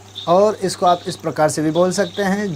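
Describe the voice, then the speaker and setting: Background noise is noticeable behind a man's voice. He has a high pitch with ordinary pitch variation. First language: Nyishi (speaking Hindi). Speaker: talk show host. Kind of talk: talk show explanation of proverbs.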